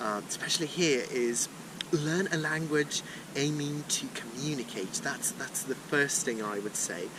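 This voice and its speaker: A man talks at a fairly slow pace with a fairly high pitch and lively intonation. Noticeable background noise runs behind him. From Brazil, Sao Paulo. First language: Portuguese. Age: 20s. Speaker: language learner, polyglot. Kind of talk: casual chat. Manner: halting, many fillers.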